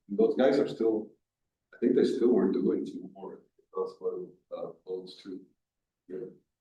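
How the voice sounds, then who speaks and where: A man's very slow delivery, with big swings in loudness and long, frequent pauses. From Colombia. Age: 60s. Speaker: artist and muralist. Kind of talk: library talk Q&A. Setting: library event with audience.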